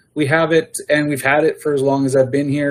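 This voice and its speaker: With a Canadian prairie accent, a man with a fairly high pitch talks at a fairly quick pace in monotone, flat intonation. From Manitoba, Canada. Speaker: agricultural services manager. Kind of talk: council meeting report. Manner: hesitant, many fillers.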